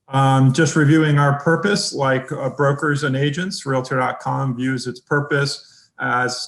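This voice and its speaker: A man speaks at a moderate pace in an unremarkable speaking voice. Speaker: real estate website executive. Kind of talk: conference presentation.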